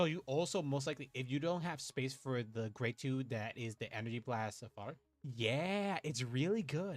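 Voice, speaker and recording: Music plays behind a man speaking at a moderate pace. His pitch is medium and his intonation lively. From Puerto Rico. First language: Spanish. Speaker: VTuber card game streamer. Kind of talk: casual gameplay livestream chat. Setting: livestream. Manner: animated.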